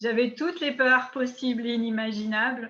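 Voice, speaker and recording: A woman talks at a moderate pace in a high-pitched voice with a bright, sharp tone. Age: 60s. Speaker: network marketing distributor. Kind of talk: interview. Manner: hesitant, many fillers.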